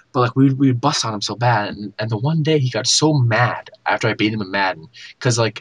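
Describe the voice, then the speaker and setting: A man speaks at a medium pitch with ordinary variation and a somewhat breathy voice. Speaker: gaming podcast host. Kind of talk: casual chat. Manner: animated.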